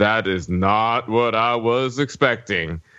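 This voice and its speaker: In a put-on character voice with a Southern US accent, a man talks at a fairly slow pace and a medium pitch. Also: ordinary pitch variation. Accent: Southern American. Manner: muttering under the breath, disappointed.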